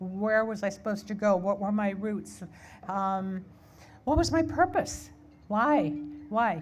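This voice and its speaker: A woman talks at a fairly slow pace in a medium-pitched, somewhat breathy voice. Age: 70s. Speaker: keynote speaker. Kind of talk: keynote speech. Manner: halting, frequent repetitions.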